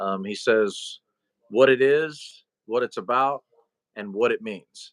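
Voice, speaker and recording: The pace is fairly slow. The sound is dry and close, with no echo. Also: man. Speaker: Bible study livestream co-host. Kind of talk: live stream chat about the Bible. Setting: livestream. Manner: halting, repeats words.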